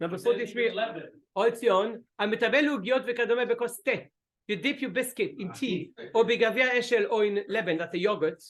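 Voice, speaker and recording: A man's voice sits high in pitch. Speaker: rabbi teaching a class. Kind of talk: religious lecture with discussion. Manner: fast.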